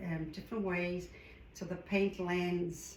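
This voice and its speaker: A woman with a South African accent, noticeable background noise and audible room echo. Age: 60s. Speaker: art hobbyist tutorial creator. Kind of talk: tutorial. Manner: casual.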